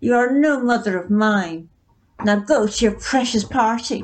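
A natural voice reads the text aloud.

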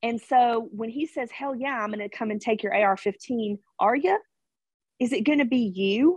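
An unremarkable speaking voice at a moderate pace, ordinary pitch variation, dry and close with no echo. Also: woman, fairly high pitch for a woman. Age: 40s. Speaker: cigar lounge owner and gun rights advocate. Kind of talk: interview.

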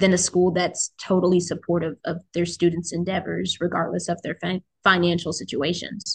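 A woman speaks at a moderate pace with fairly low pitch, vocal fry and fairly even intonation, in a dry, close recording with no echo. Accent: American. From US military family, grew up in several places, settled in DC area. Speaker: university student. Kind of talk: casual chat.

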